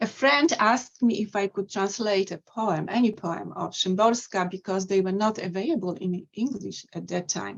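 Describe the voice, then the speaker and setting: A woman with vocal fry talks at a moderate pace and medium pitch, with ordinary pitch variation and hardly any pauses. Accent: Polish. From Poland. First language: Polish. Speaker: poet and translator. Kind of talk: poetry reading presentation.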